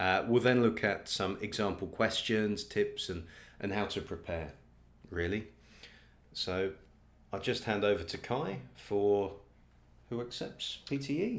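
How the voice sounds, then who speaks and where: A man with a British accent speaks at a fairly slow pace, his pitch fairly low. Long, frequent pauses break up his speech, and his pitch varies an ordinary amount. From Britain. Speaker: test company representative. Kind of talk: presentation.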